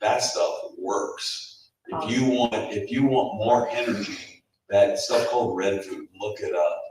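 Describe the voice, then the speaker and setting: Audible room echo surrounds a man as he speaks. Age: 60s. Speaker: health seminar speaker. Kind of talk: seminar talk with audience Q&A. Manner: halting, repeats words.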